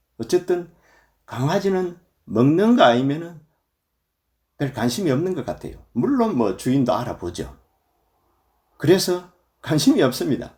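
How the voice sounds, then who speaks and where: Long, frequent pauses break up this man's speech, which has a fairly high pitch and very wide pitch swings. The recording is very clean, with a silent background. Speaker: Buddhist monk, temple abbot. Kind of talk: dharma talk. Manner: filler 'eo' pauses.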